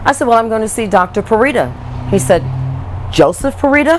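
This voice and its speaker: Amid noticeable background noise, a woman speaks at a very fast pace in an animated tone. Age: 60s. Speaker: patient giving testimonial. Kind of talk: testimony. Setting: on camera interview.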